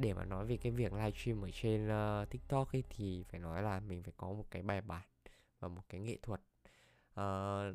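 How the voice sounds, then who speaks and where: A man with an ordinary speaking voice talks at a moderate pace with fairly even intonation, on a very clean recording with a silent background. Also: fairly low pitch for a man. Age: 20s. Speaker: podcast host. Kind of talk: personal monologue, casual talk. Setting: at own computer desk.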